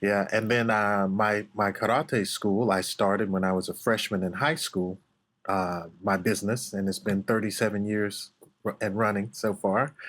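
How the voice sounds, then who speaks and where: In a very clean recording with a silent background, a man speaks in an unremarkable speaking voice at a fairly low pitch and moderate pace, with fairly even intonation and very even loudness. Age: 50s. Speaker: martial arts instructor. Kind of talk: podcast interview.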